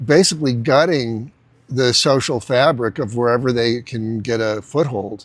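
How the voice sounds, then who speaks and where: Speaking fairly slowly with an American accent, a man has an unremarkable speaking voice at medium pitch with ordinary pitch variation. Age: 60s. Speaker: entrepreneur and business coach. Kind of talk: casual talk-to-camera lecture. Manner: conversational with many fillers and restarts.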